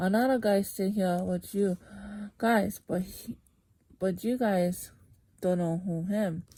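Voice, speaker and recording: On a very clean recording with a silent background, a woman with a dark, mellow, somewhat breathy tone speaks very slowly at a medium pitch with fairly even intonation. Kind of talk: scripture reading.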